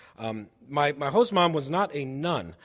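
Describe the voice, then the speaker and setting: With an American accent, a man speaks at a fairly high pitch. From New Jersey, outside Philadelphia. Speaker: church charity director. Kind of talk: presentation to a congregation. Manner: loud; casual, animated.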